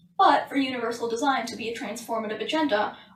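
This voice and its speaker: Over noticeable background noise and audible room echo, a woman talks at a fairly quick pace, her pitch high and her intonation fairly even. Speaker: book reviewer. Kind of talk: book summary. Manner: trips over consonants.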